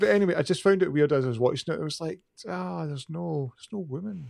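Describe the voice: In a Glaswegian accent, a man speaks fast at a fairly high pitch. His voice has vocal fry and a slightly mellow tone. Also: ordinary pitch variation. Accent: Glaswegian Scottish.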